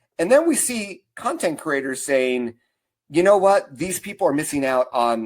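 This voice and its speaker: An unremarkable speaking voice from a man, fairly high in pitch, with lively intonation and a moderate pace. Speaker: marketing consultant and speaker. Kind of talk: webinar presentation. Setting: online webinar.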